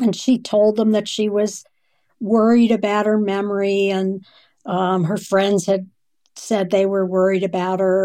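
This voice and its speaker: A woman speaks at medium pitch in a dark, mellow tone, her intonation monotone and flat at a moderate pace, on a very clean recording with a silent background. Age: 60s. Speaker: geriatric neurologist. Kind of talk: interview conversation.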